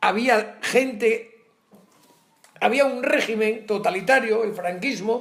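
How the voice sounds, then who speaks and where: At a very slow pace, a man speaks with a high pitch and fairly even intonation. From Asturias, northern Spain. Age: 70s. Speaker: retired teacher. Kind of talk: interview.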